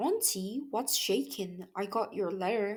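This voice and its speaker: Putting on a squeaky character voice, a woman speaks at a fairly slow pace with medium pitch. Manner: friendly, chipper.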